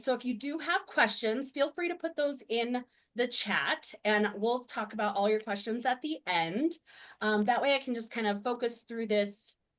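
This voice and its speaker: Using an unremarkable speaking voice, a woman talks at a moderate pace with lively intonation. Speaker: web designer presenting a webinar. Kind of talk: webinar presentation. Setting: video call.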